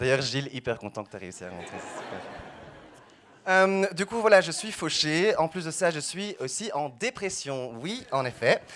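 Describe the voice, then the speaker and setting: With a Belgian accent, a man talks at a fairly slow pace in a fairly high pitch. His pitch swings very widely, and his loudness swings a lot. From Belgium, Brussels. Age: 20s. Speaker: stand-up comedian. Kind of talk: stand-up.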